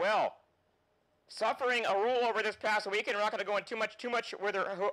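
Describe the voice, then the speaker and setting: A man with a high pitch and a bright, sharp tone talks at a very fast pace in a raised, projected voice with fairly even intonation, on a very clean recording with a silent background. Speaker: motorsports show host. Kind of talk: show hosting and interview.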